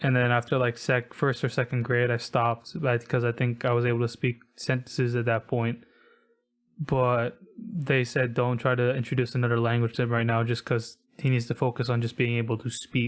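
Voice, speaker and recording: Very clean recording, silent background. A man with an American accent speaks at a fairly quick pace in a monotone, flat intonation with very even loudness. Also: medium pitch for a man. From US, Filipino immigrant family. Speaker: podcast host. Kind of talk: casual chat. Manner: occasional stuttering.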